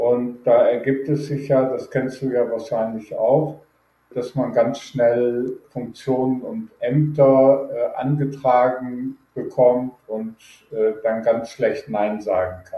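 Speech comes at a very slow pace. Its tone is dark and mellow, and its intonation fairly even. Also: man, medium pitch for a man. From Germany, Rhineland (Düsseldorf, Neuss). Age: 60s. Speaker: data protection expert. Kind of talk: interview.

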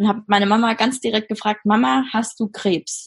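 The woman's fairly high, somewhat breathy voice moves at a moderate pace with ordinary pitch variation over a quiet background. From Germany, Mainz. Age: 20s. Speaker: social work student. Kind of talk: interview testimony.

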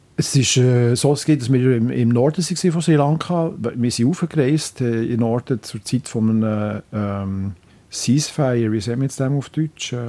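A man speaks at a moderate pace and medium pitch with a dark, mellow tone. His pitch varies in an ordinary way. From Switzerland, Biel. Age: 60s. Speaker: local politician. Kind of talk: interview. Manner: halting.

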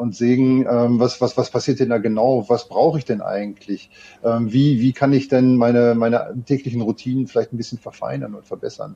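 His tone dark and mellow, the man delivers his words with fairly even intonation. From Ruhr area, Germany (Gelsenkirchen). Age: 50s. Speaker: tech company co-founder and sales lead. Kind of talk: interview.

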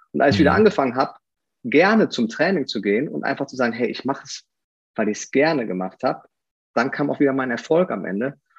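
Talking at a very fast pace with a slight Rhineland accent, a man with a medium-pitched voice makes very wide pitch swings and big swings in loudness. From Aachen, Rhineland, Germany. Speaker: former pro athlete and fitness coach. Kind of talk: podcast interview.

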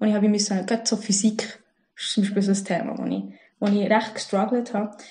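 Somewhat breathy, a woman speaks with a Bernese accent. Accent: Bernese Swiss German. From Switzerland, Bern. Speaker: former banker, podcast guest. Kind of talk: casual interview chat. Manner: halting, many fillers and restarts.

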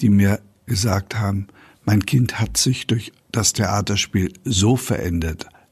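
Somewhat breathy and fairly low-pitched, a man talks at a fairly slow pace with ordinary pitch variation. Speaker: amateur theatre director. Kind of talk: interview. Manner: formal.

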